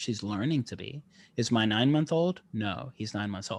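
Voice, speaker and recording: This speaker moves at a fairly quick pace with ordinary pitch variation against a quiet background. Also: man. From South Africa, then Northeast Tennessee. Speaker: functional neurologist. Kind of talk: podcast interview.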